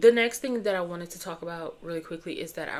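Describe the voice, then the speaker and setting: This woman talks at a very fast pace. Her voice is fairly low, with ordinary pitch variation. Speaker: youtuber. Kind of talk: casual chat.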